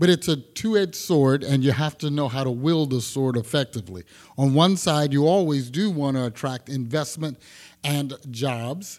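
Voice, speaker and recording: A man with an American accent and a normal speaking voice speaks at a moderate pace. His pitch is fairly high with ordinary variation, on a very clean recording with a silent background. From Texas, Houston. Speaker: housing agency development director. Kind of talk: panel discussion.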